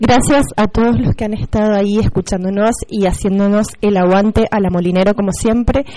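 Fairly even intonation carries this dark, mellow tone. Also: woman, medium pitch for a woman. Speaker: schoolteacher. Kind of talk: school radio presenting. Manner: hesitant with fillers. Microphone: microphone problem.

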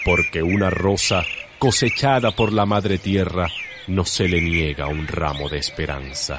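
A man talks with lively intonation while background noise is clearly audible. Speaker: poetry reader. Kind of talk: poetry reading. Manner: slow, lyrical, expressive.

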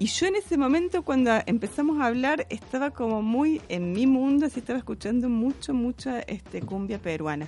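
With hardly any pauses, a woman speaks in a high pitch and a dark, mellow tone, her pitch swinging very widely. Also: moderate pace. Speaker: playwright and theatre director. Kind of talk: radio interview. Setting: radio studio.

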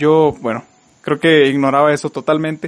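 A man with a Mexican accent, fairly high-pitched, at a very fast pace over background music. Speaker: podcast host. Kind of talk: casual chat.

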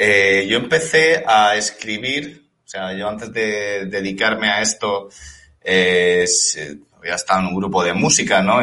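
Here is a man with a fairly low pitch and ordinary pitch variation. His tone is bright and sharp. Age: 30s. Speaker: novelist. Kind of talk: interview.

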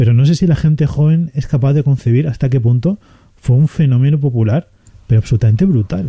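The voice is somewhat breathy with a dark, mellow tone and ordinary pitch variation. The sound is dry and close, with no echo. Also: man. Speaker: film podcast host. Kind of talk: casual chat.

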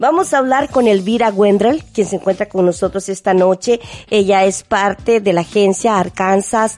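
A normal speaking voice from a woman at medium pitch, with ordinary pitch variation, very even loudness and a moderate pace. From Mexico, Veracruz. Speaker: radio host. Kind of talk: radio interview.

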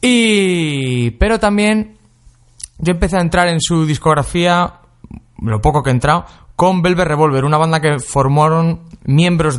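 A man delivers his words at a moderate pace. The intonation rises and falls in a lively way. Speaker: radio host. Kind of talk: casual chat. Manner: animated.

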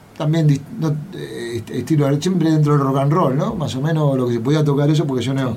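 Amid noticeable background noise and audible room echo, the voice moves at a moderate pace. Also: man. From Buenos Aires, Argentina. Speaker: rock drummer. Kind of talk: interview.

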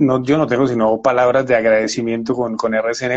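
This man's voice sits at a medium pitch. He talks at a fairly quick pace with fairly even intonation. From Colombia, Valle del Cauca (Buga). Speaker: TV news presenter and journalist. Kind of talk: interview. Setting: at home during quarantine. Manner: halting.

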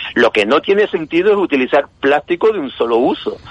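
Talking at a fairly quick pace with lively intonation, a man comes through dry and close with no echo, though there is noticeable background noise. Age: 60s. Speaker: retired chemistry teacher. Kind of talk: interview. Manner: halting.

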